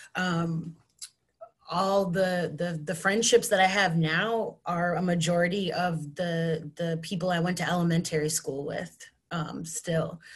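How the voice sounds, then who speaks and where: A woman with a Western New York accent, fairly low in pitch, fairly slow, and with fairly even intonation. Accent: flat Western New York. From Western New York, Buffalo and Batavia. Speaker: mental health therapist. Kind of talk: personal storytelling panel. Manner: casual, many fillers.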